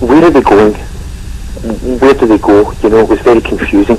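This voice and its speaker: Noticeable background noise runs under the recording. The speaker is a man with a Scottish accent. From Scotland. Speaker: paranormal investigator. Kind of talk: radio interview.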